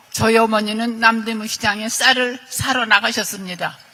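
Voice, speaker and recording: A woman speaks with a fairly high pitch and monotone, flat intonation. Noticeable background noise is present. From South Korea, Seoul. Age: 80s+. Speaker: state violence victim. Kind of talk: testimony. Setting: luncheon event with president.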